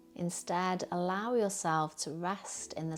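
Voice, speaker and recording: A woman talks in a soothing tone at a very slow pace. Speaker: yoga teacher. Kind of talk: guided meditation.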